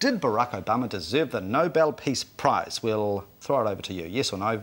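A man talks at a moderate pace with a New Zealand accent. His intonation is lively. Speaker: TV show host. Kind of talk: TV panel discussion, host moderating. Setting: studio. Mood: jokey, light-hearted. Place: studio. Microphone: lapel.

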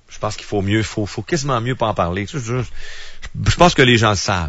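With a Quebec accent, a man speaks in an angry tone, somewhat breathy, the sound dry with no echo against a quiet background. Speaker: radio commentator. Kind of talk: angry rant. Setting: radio studio. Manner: angry, indignant; fast, emphatic, ranting. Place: studio.

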